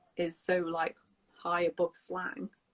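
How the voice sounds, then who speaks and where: The speaker has a British accent, and the sound is dry and close with no echo. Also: woman. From England. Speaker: English teacher hosting a live stream. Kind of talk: live stream casual chat.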